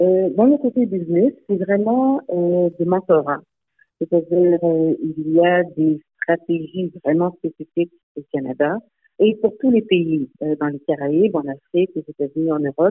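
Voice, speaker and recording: This woman has a fairly low pitch and lively intonation. She speaks at a fairly slow pace. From Montreal, Quebec. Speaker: nonprofit founder and executive director. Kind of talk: radio interview. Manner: halting, many hesitations.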